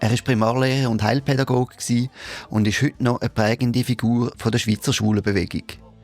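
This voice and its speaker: A man's very fast, monotone, flat delivery at very even loudness, with a dry, close sound with no echo and music in the background. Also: medium pitch for a man. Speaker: podcast host. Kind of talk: podcast introduction.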